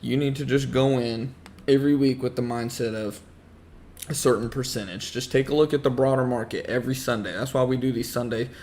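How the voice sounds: At a fairly quick pace, a man talks with medium pitch, fairly even intonation and a slightly mellow tone.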